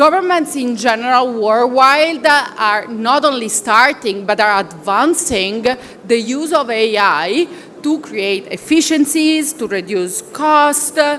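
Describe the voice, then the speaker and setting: Speaking at a very slow pace with an Italian accent, the voice swings very widely in pitch over noticeable background noise. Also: woman, high pitch for a woman. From Italy. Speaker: consultant at a professional services firm. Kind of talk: conference presentation. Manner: halting, many fillers.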